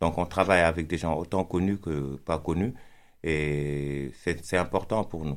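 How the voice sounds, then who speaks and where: In a Senegalese accent, a man speaks at a very slow pace with a very deep, low pitch and fairly even intonation. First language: Pulaar (speaking French). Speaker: rapper. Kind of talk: interview. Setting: studio.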